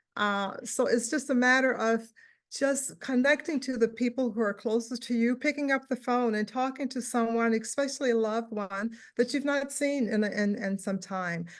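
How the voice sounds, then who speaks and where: Over a quiet background, a woman speaks at a moderate pace in a high pitch. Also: ordinary pitch variation. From Louisiana. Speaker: panelist. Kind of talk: virtual panel discussion. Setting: video call.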